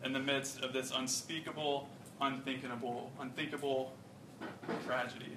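A man with an American accent, audible room echo, and noticeable background noise. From South Carolina (Rock Hill). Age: 20s. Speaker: campus ministry intern. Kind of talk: sermon.

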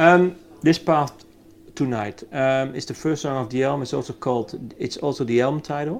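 This man has a normal speaking voice, pitched fairly high, and moves along at a moderate pace. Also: ordinary pitch variation. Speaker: interviewer. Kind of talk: interview questions.

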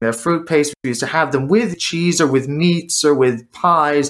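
With an ordinary speaking voice and an American accent, a man of fairly high pitch talks at a moderate pace with fairly even intonation. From United States. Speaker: drinks maker and former chef. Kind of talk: interview.

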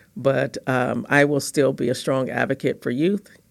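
A woman with an American accent speaks at a moderate pace. Her voice is very deep and low, with vocal fry. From Los Angeles, California. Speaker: education program manager. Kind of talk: interview.

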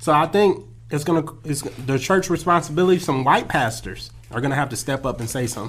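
With an American accent, a man speaks at a fairly quick pace with lively intonation. His voice is somewhat breathy. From California. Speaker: podcast co-host. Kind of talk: casual chat.

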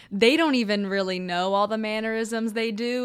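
A woman speaks in an ordinary speaking voice at a fairly high pitch, with ordinary pitch variation. The recording is very clean, with a silent background. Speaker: golfer and golf broadcaster, podcast co-host. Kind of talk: casual chat.

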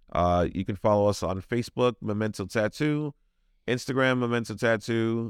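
A man's fairly low voice, a normal speaking voice with an American accent, fairly slow, with ordinary pitch variation and a dry, close sound with no echo. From Brooklyn, New York. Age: 40s. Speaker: tattoo shop owner. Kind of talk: casual interview.

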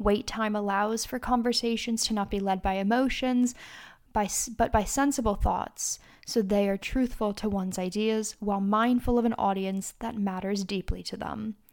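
Speaking at a moderate pace with fairly even intonation, a woman with an unremarkable speaking voice and a fairly high pitch is heard on a very clean recording with a silent background. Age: 30s. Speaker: podcast host and charity founder. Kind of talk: solo advice podcast monologue.

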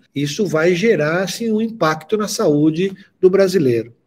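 A man's fairly slow delivery in an ordinary speaking voice. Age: 60s. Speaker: pharmaceutical industry executive. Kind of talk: interview.

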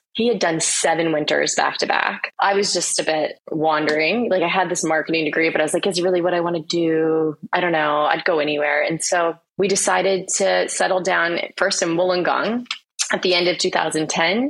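A woman with an American accent speaks at a moderate pace in an ordinary speaking voice, with fairly even intonation and very even loudness. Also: fairly low pitch for a woman. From Florida, US. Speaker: ghostwriter and author. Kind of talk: casual interview chat.

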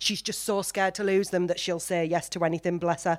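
Speaking at a very fast pace, a woman has a fairly low pitch. She talks in a Teesside accent. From Teesside, north-east England. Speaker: podcast host. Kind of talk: casual chat. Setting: stage with audience. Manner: animated.

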